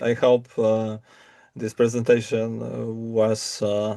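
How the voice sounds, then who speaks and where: A man's medium-pitched voice with a dark, mellow tone. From Poland. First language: Polish. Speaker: military educator and wargame designer. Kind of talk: presentation. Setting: video call. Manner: halting, many fillers.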